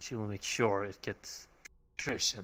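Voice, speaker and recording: A man puts on a character voice in a calm tone at a moderate pace. The recording is very clean with a silent background. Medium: game stream. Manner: calm, ominous.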